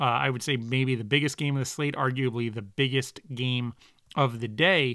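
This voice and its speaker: A bright, sharp tone at a moderate pace with fairly even intonation, in a very clean recording with a silent background. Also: man, medium pitch for a man. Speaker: college football podcast host. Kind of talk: solo podcast commentary. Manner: casual, filler-heavy. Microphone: new podcasting microphone with pop filter.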